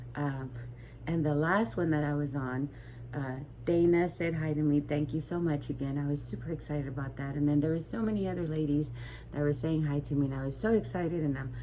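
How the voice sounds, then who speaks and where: A soft-spoken woman with a very deep, low voice, a fairly quick pace and fairly even intonation. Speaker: crochet vlogger. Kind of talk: casual vlog chat. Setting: home at night. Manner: soft-spoken, keeping voice low; hesitant, many fillers.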